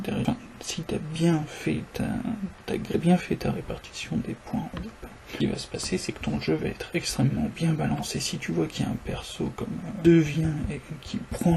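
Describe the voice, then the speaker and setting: Quiet whispering at a moderate pace, with noticeable background noise. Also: man. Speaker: gamer discussing game balance. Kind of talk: casual spoken monologue. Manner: near-whispered, quiet.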